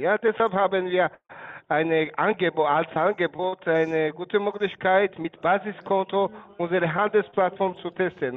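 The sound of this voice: The man's pitch is high. He speaks at a fairly slow pace.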